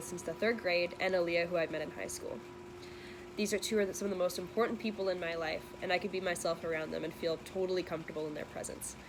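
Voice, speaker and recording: Speaking at a very fast pace, a woman with a fairly low pitch and ordinary pitch variation comes through noticeable background noise. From western Canada, Metro Vancouver. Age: 20s. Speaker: university student. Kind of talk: scripted narration.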